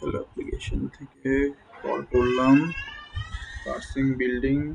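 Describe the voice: At a moderate pace and medium pitch, a man's voice shows vocal fry and a slightly husky edge.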